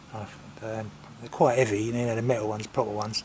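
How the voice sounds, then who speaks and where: Moderate pace, in an English accent. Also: man. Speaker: motorcycle vlogger. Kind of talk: casual chat. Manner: halting.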